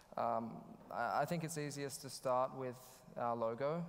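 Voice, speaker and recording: The man's pitch varies in an ordinary way as he speaks at a moderate pace. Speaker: conference speaker. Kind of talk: conference talk. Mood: slightly nervous, friendly. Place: hall. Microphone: headset.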